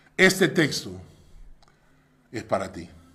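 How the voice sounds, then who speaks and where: Audible room echo carries a man's voice as he speaks at a very slow pace. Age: 60s. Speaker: pastor. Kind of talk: sermon.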